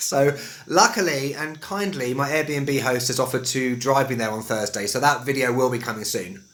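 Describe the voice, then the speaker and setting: Over noticeable background noise, a man with a London accent talks at a fairly quick pace in a fairly high pitch. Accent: West London, Estuary English. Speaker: English teacher. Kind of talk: casual talk to camera.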